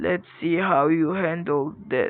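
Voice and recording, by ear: A put-on character voice sits at a middle pitch.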